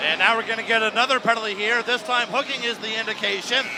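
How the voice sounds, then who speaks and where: Noticeable background noise sits behind a man whose raised, projected voice is pitched high. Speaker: play-by-play hockey broadcaster. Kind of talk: live sports play-by-play commentary. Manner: fast, energetic.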